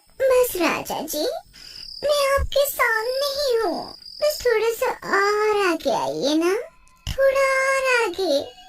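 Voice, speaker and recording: A cartoonish character voice that sounds female, squeaky and extremely high-pitched, moves at a fairly slow pace with long, frequent pauses. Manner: seductive then menacing.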